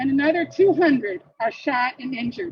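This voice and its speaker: A woman speaks with a northern US accent at a moderate pace. Her voice is high in pitch. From Michigan. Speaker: activist. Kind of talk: speech. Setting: outdoor protest rally.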